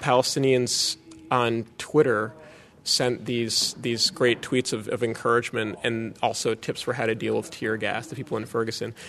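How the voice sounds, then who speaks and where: A man speaks in an ordinary speaking voice with an American accent, at a moderate pace and a medium pitch. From US, Boston. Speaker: activist. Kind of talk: interview.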